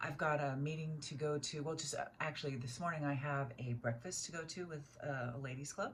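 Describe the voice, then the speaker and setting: A woman speaks with a very deep, low pitch, somewhat breathy. Her pace is fairly quick and her intonation fairly even. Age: 60s. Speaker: beauty vlogger. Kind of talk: tutorial. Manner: casual, hesitant with many fillers.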